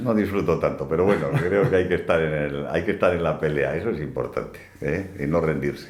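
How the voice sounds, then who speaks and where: A man speaks in a very deep, low voice with ordinary pitch variation and hardly any pauses, over noticeable background noise. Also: fairly quick pace. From Basque Country, Spain (Bilbao). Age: 70s. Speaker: hunter and business executive. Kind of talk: interview. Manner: halting, many repetitions.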